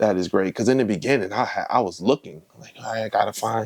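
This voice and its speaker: Speaking with an American accent, a man uses a fairly low pitch with ordinary pitch variation. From Connecticut, Bridgeport. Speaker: comedian. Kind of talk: casual chat. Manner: halting.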